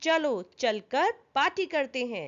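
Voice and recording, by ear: Putting on a character voice, a woman speaks slowly at a high pitch with big pitch swings.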